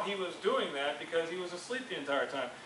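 Very fast speech with audible room echo and light background noise. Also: man. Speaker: youth group teacher. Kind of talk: sermon. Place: classroom. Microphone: camera far.

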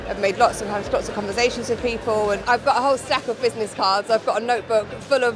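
Crowd noise fills the background as a woman talks at a very fast pace. Her intonation stays fairly even. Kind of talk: interview answer. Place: hall.

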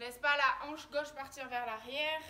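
A woman's raised, projected voice with ordinary pitch variation over light background noise. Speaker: fitness instructor. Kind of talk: workout instruction. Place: garden. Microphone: camera far.

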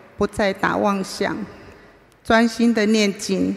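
A woman talks at a very slow pace in a monotone, flat intonation. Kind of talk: read personal testimony speech. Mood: earnest, emotional. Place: hall. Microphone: podium.

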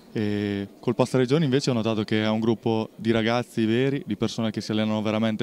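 A man talks very fast at a fairly low pitch with monotone, flat intonation. The sound is dry with no echo, and there is light background noise. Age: 20s. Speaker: basketball player. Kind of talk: post-game interview. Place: hall. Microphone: handheld.

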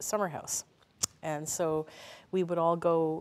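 The delivery is fairly slow, with monotone, flat intonation. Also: woman. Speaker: guest. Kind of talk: interview answer. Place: hall. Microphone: lapel.

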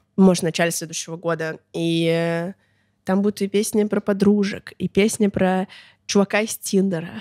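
Against a quiet background, a woman speaks at a moderate pace with a dark, mellow tone and fairly even intonation. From Russia, Chita (Siberia); Russia. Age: 20s. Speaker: musician, blogger and festival organizer; blogger. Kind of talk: casual interview chat. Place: studio. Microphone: studio mic.

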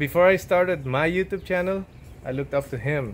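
This man's pitch sits fairly high and varies in an ordinary way. He talks at a moderate pace.

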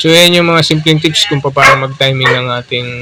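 A man talks with fairly even intonation. Noticeable background noise runs underneath. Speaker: motorcycle mechanic. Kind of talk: repair tutorial. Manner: casual, filler-heavy.

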